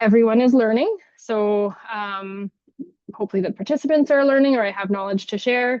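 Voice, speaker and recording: A woman with a Canadian accent talks at a moderate pace in a fairly high pitch, with ordinary pitch variation. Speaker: clinician and parent. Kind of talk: educational webinar presentation. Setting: video call. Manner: sometimes mumbling, hesitant.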